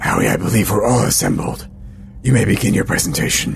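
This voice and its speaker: Over clear background noise, a man rattles off lines in a put-on character voice at a very fast pace, raspy and fairly low in pitch. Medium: actual play. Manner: measured, formal.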